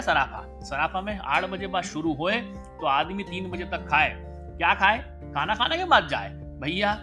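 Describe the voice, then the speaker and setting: Over music in the background, a man speaks in a Malwa accent. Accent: Indori Malvi dialect. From Indore, central India. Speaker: podcaster, storyteller. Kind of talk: humorous storytelling.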